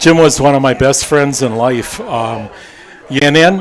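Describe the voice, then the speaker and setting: A man with an American accent, at a moderate pace and with ordinary pitch variation, over crowd noise in the background. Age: 70s. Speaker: former racing crew member. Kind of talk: casual interview.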